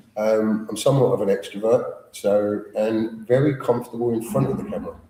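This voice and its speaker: Through noticeable background noise, a man talks at a fairly quick pace. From London. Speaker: actor. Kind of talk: interview.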